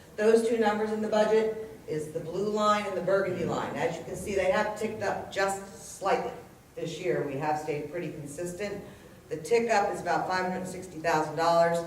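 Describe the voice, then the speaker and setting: Through noticeable background noise and audible room echo, a woman talks at a fairly quick pace, her medium pitch showing ordinary variation. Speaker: municipal chief financial officer. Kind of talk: budget presentation at public hearing. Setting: council meeting room with audience. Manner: loud.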